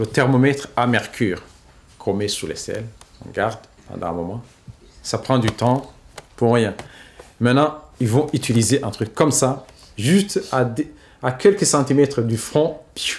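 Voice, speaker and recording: A man with a medium pitch speaks at a fairly slow pace with lively intonation, leaving long, frequent pauses. Noticeable background noise runs underneath. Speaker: humanitarian worker and journalist. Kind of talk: casual explanation.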